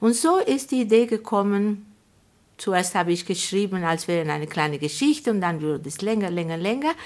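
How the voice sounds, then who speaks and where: At a moderate pace, a woman with a medium-pitched voice uses lively intonation on a very clean recording with a silent background. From Argentina. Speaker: publisher and writer. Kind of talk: interview. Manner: halting.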